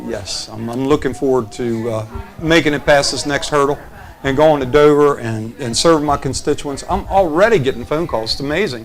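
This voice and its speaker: A man's fairly high voice with a Delaware accent, ordinary pitch variation and a fairly quick pace, music in the background. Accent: Sussex County. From Sussex County, Delaware. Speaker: state senate candidate. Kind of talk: interview. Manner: halting.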